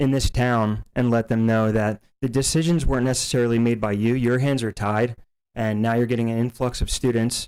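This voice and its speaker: Flat, monotone delivery throughout. The accent is American. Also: man. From New Jersey, Hopewell area. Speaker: local resident speaking at public comment. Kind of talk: public comment at school board meeting.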